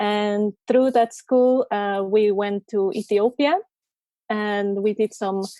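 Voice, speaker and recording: A woman speaks at a fairly high pitch in a dark, mellow tone with fairly even intonation, in a very clean recording with a silent background and a dry, close sound with no echo. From Costa Rica. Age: 20s. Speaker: coffee roaster and photographer. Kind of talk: interview.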